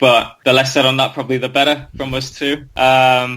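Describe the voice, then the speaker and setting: This man speaks at a fairly quick pace with a medium pitch. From North Wales. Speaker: ex-professional footballer. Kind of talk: interview. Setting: podcast.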